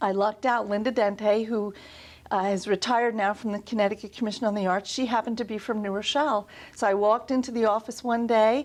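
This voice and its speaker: Speech comes at a very fast pace with an American accent and monotone, flat intonation. The recording is very clean, with a silent background. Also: woman, fairly high pitch for a woman. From New York, Long Island. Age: 60s. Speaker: art museum director. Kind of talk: interview.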